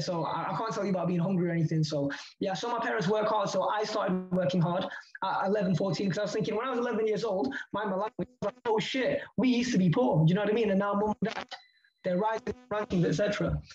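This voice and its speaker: Over music in the background, a man talks very fast in a high, animated voice with ordinary pitch variation. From Leeds, northern England. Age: 20s. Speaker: crypto entrepreneur. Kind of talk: casual interview.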